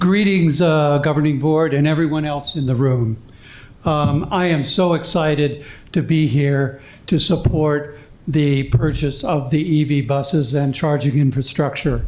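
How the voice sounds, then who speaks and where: Somewhat breathy and in an American accent, the voice moves at a fairly slow pace with fairly even intonation amid audible room echo. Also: man, fairly high pitch for a man. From Tucson, Arizona. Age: 70s. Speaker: public commenter, retired energy researcher. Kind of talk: public comment at board meeting. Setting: school board meeting room.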